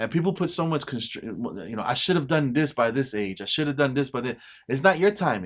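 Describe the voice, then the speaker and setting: With an unremarkable speaking voice, this man talks at a fairly quick pace and a fairly high pitch, his intonation lively, on a very clean recording with a silent background. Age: 40s. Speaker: photographer and filmmaker. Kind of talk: casual chat.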